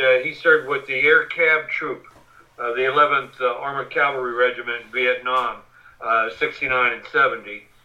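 A man speaks with an American accent at a medium pitch. Noticeable background noise sits behind him. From Western Pennsylvania. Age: 60s. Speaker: war veteran and journalist. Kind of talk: interview.

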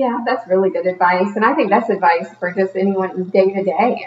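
At a moderate pace, a woman speaks in an unremarkable speaking voice with fairly even intonation. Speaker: podcast host. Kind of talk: casual interview chat. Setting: studio.

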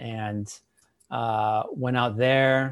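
A man with a plain, everyday voice and an American accent, fairly even intonation and a quiet background. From Chicago area, US Midwest. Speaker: pastor. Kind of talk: interview.

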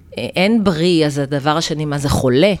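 A woman speaks at a very deep, low pitch. Her pace is moderate, with ordinary pitch variation. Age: 50s. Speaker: naturopath. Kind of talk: interview.

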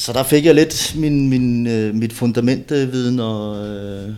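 A man's voice holds a mid-level pitch that moves up and down in an ordinary way. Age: 30s. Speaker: former bodybuilder and steroid user. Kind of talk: casual chat. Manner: halting, many repeated words.

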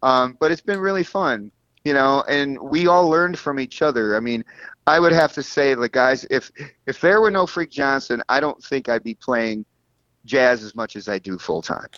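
An unremarkable speaking voice from a man, fairly high-pitched, with lively intonation at a moderate pace. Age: 50s. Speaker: bass player and bandleader. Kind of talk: casual interview.

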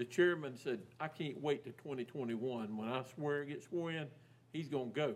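A man's fairly high voice with a Southern US accent, at a fairly slow pace. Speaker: county commissioner. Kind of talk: public meeting.

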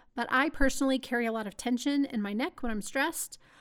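A woman with an American accent talks at a very fast pace in a high, animated tone. The recording is very clean, with a silent background. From Texas. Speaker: podcast host, small business owner. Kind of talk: solo podcast monologue.

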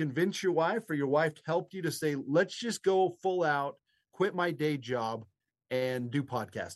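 A plain, everyday voice from a man with an American accent, fairly high in pitch, at a moderate pace. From Nevada, US. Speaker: podcast co-host. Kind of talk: casual chat.

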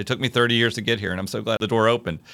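A man with a fairly low voice speaks with an American accent and a bright, sharp tone. The recording is very clean, with a silent background. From US South, Virginia (Hopewell, near Richmond). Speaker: city parks administrator. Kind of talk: interview.

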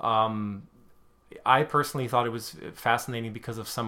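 With a German accent and a bright, sharp tone, a man speaks at a moderate pace in a monotone, flat intonation. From Germany (Hamburg). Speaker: literary scholar. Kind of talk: casual chat. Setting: kitchen table.

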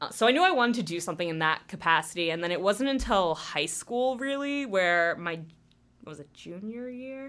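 Recorded very cleanly against a silent background, a woman with a New Jersey accent talks at a fairly quick pace, her pitch swinging very widely and her loudness shifting a lot. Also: medium pitch for a woman. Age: 20s. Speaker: new staff member at community TV station. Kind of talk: casual interview. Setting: studio.

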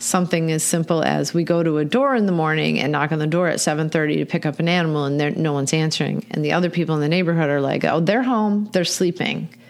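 A woman speaks with a fairly low pitch for a woman and ordinary pitch variation. Hers is an unremarkable speaking voice. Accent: American. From Michigan. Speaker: animal welfare nonprofit director. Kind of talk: casual interview.

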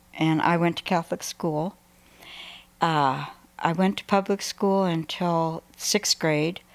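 A woman with a fairly low pitch talks very slowly with fairly even intonation. The sound is dry and close, with no echo. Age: 80s.

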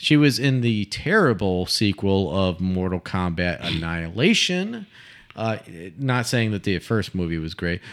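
An ordinary speaking voice moves at a fairly slow pace with ordinary pitch variation. The recording is very clean, with a silent background. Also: man, fairly low pitch for a man. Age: 30s. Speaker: podcast co-host. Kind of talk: casual chat.

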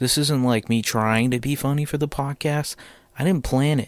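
A moderate-paced voice in an American accent with ordinary pitch variation. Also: man. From United States. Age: 20s. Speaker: podcast host. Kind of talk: casual monologue. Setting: home basement.

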